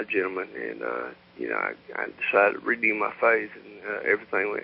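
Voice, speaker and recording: At a fairly quick pace, a man talks with a Southern US accent. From US South. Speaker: caller. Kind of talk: call-in chat. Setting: phone call. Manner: halting, many fillers.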